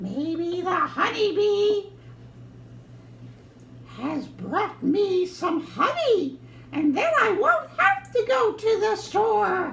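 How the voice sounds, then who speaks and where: In a cartoonish character voice pitched extremely high, the speaker talks at a very slow pace with long, frequent pauses over clear background noise. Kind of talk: children's puppet show.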